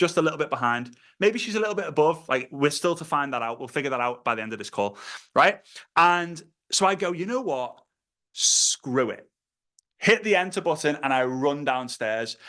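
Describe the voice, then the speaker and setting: A man with a Liverpool accent speaks in a bright, sharp, animated tone, his pitch swinging very widely against a quiet background. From northern England, Liverpool. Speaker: network marketing trainer. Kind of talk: online training call talk. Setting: online video call. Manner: fast.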